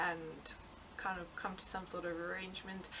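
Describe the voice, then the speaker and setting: A woman with a South African accent speaks over noticeable background noise. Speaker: knitting podcaster. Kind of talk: casual podcast monologue. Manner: hesitant, many fillers.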